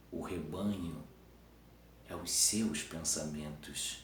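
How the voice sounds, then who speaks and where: A man talks very slowly in a very deep, low pitch, with ordinary pitch variation. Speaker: teacher. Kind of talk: improvised philosophical talk to camera. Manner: halting, some stumbles.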